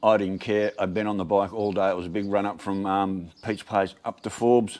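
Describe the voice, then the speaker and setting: A man with an Australian accent talks at a fairly quick pace and fairly low pitch over a quiet background. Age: 60s. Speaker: video blogger. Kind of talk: casual vlog monologue.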